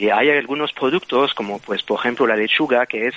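Someone with a Belgian accent speaks with fairly even intonation against noticeable background noise. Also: man. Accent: Belgian foreign. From Belgium. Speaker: bioengineer. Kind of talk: interview. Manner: hesitant.

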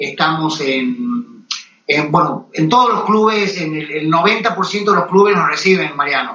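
A man with an Argentine accent speaks at a fairly slow pace, his pitch varying in an ordinary way. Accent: Argentine Spanish (voseo). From Argentina. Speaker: golf magazine editor. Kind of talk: interview. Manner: halting, many fillers and repetitions.

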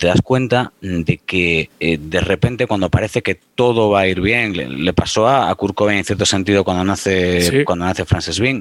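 A man talks at a moderate pace with a fairly low pitch and ordinary pitch variation. The sound is dry and close, with no echo. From Spain, Galicia (Pontevedra). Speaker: former radio presenter, music commentator. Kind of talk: casual chat. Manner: hesitant, repeats words.

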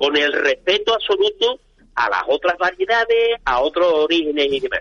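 With lively intonation and an unremarkable speaking voice, a man talks at a moderate speed. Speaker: olive industry association president. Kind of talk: interview.

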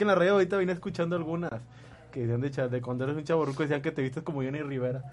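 Very fast speech from a man, fairly high in pitch, with ordinary pitch variation, and noticeable background noise behind it. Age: 20s. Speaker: radio host. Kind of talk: casual chat.

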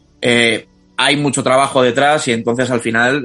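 A man of medium pitch at a moderate pace, with music in the background. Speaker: podcast host. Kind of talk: casual chat.

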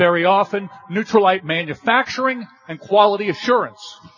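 High pitch from a man, ordinary pitch variation, noticeable background noise. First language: English (speaking Spanish). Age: 50s. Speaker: corporate speaker at a sales event. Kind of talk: motivational presentation with live interpretation.

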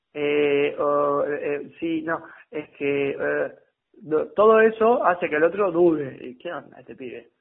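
A man with a Rioplatense accent, fairly high in pitch, at a very slow pace, with ordinary pitch variation and big swings in loudness. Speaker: sales coach. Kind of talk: coaching feedback; role-play sales call.

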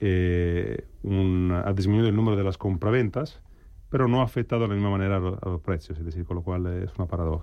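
A man talks at a fairly quick pace with ordinary pitch variation. His voice is very deep and low. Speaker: real estate CEO. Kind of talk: radio roundtable discussion.

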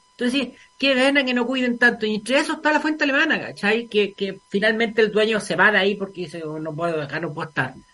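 Using a raised, projected voice, a man talks very fast at a high pitch, with very wide pitch swings. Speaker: radio host. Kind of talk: casual chat.

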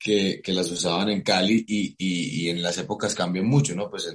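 A man talks in a fairly low voice. His pitch varies in an ordinary way at a moderate pace. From Colombia, Cartagena. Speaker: actor. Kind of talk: interview. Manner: halting, many repetitions.

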